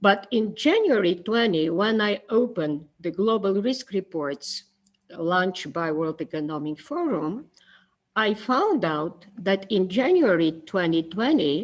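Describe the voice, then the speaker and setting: A non-native accent at a fairly slow pace. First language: not English. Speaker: conference speaker. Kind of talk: conference presentation. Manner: halting.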